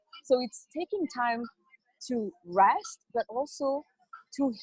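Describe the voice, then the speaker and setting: In a French accent, a woman speaks with high pitch and lively intonation, recorded with a dry, close sound and no echo. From France. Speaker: wellness entrepreneur. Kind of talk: interview.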